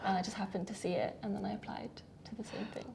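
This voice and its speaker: A woman with a British accent. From UK. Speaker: doctor. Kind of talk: interview.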